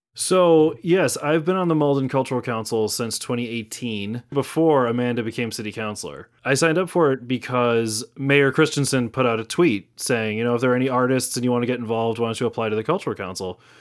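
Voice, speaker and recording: At a very fast pace with hardly any pauses, a man talks at medium pitch with ordinary pitch variation on a very clean recording with a silent background. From Massachusetts (Natick, Greater Boston). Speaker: actor. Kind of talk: interview.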